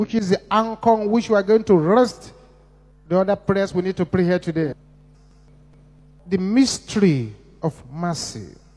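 Backed by music, a man with a high pitch and ordinary pitch variation speaks at a moderate pace, with long, frequent pauses. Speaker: church leader, preacher. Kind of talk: sermon preaching with Bible reading.

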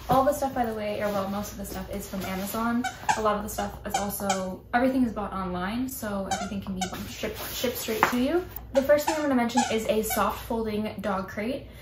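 Loud background noise surrounds a woman's voice. She talks at a fairly quick pace with ordinary pitch variation. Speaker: pet vlogger. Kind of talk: casual vlog chat. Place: home room. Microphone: camera far.

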